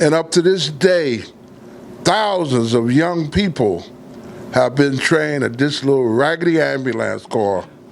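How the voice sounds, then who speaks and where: A man with an American accent and a fairly high voice speaks at a fairly slow pace with lively intonation, amid noticeable background noise. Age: 70s. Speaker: volunteer ambulance corps commander. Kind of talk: personal testimony.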